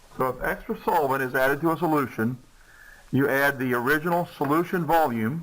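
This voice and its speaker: A man with a Southern US accent talks at a fairly quick pace, his pitch varying in an ordinary way. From US South. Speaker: chemistry teacher. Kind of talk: lecture.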